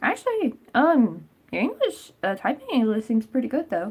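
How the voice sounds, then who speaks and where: With an American accent, a woman speaks in a somewhat breathy voice with lively intonation. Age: 20s. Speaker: crochet livestreamer. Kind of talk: casual livestream chat. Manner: casual, filler-heavy.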